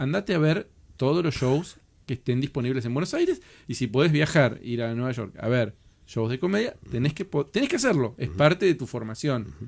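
A man talks at a fairly quick pace and medium pitch, with lively intonation. It is a plain, everyday voice. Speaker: podcast host and show producer. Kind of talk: interview.

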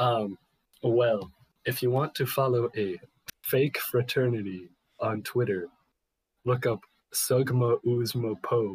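Very slowly and with long, frequent pauses, a man speaks at a medium pitch, somewhat breathy, with ordinary pitch variation, very even loudness and a dry, close sound with no echo. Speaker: podcast guest. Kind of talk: casual chat.

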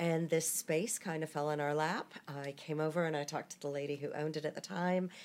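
A woman speaks with an American accent in a very deep, low voice. Her pace is fairly quick and her intonation fairly even. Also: hardly any pauses. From US South, Atlanta, Georgia. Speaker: boutique owner. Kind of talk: casual interview. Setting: in her shop.

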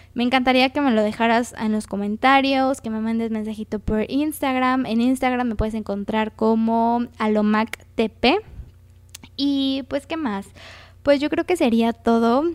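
With a Mexican accent, a woman speaks at a fairly slow pace and a fairly high pitch. Her intonation stays fairly even on a very clean recording with a silent background. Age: 20s. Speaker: podcast host and graphic designer. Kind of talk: casual solo podcast talk. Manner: conversational.

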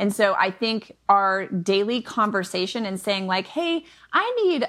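Here a woman speaks with an American accent in a normal speaking voice. She goes at a fairly slow pace with a medium pitch. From Michigan, US Midwest. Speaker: online business coach and homeschooling mother. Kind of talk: casual interview chat. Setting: remote podcast recording.

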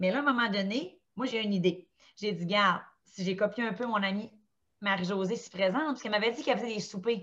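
A woman speaks at a medium pitch and a fairly quick pace. Her pitch varies in an ordinary way. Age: 30s. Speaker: stay-at-home mother of four. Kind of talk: casual chat.

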